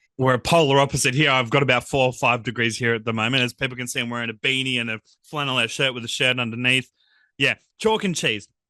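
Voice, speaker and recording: This man has an Australian accent and a bright, sharp tone of medium pitch, with fairly even intonation at a very fast pace. The sound is dry and close with no echo, over a quiet background. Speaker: podcast host. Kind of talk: interview. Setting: video call.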